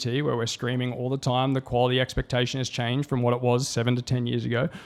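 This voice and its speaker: A man speaks with an Australian accent at a medium pitch. His pace is very fast. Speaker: tech company CEO. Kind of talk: conference presentation.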